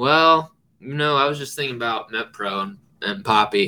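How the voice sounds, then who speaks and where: A man with a bright, sharp tone and medium pitch speaks at a moderate pace with ordinary pitch variation. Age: 20s. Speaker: podcast host. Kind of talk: casual chat.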